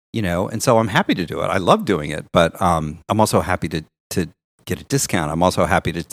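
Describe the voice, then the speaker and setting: A very fast man with an American accent and a very deep, low pitch, in a very clean recording with a silent background, dry and close with no echo. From Kansas, US Midwest. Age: 50s. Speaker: fashion director. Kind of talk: casual chat.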